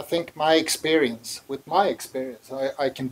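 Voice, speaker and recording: A man's medium-pitched delivery keeps fairly even intonation and a moderate pace. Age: 60s. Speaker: music manager. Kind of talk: interview. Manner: halting.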